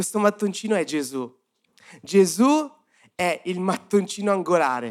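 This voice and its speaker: Speaking fairly slowly with long, frequent pauses, a man with a high voice swings very widely in pitch. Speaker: youth-group preacher. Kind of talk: sermon. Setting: church service with audience.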